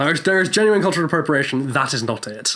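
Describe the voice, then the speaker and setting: Someone speaks at a very fast pace with an English accent. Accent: received pronunciation. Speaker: actor; podcast host. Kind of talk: casual chat. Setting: recording in a box on the street. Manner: sarcastic.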